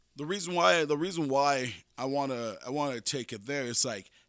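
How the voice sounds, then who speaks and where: A man with a non-native accent speaks at a moderate pace, fairly high in pitch with ordinary pitch variation. The recording is very clean, with a silent background. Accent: struggles to pronounce some English sounds. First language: not English, English is third language. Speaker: podcast host. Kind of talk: casual monologue. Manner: halting, many repetitions and fillers.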